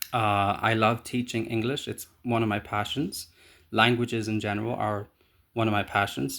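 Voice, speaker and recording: Over a silent background in a very clean recording, a man with an Irish accent talks at a moderate pace in a medium pitch with fairly even intonation. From Ireland. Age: 30s. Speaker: job applicant. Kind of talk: video job application self-introduction. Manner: hesitant, many fillers.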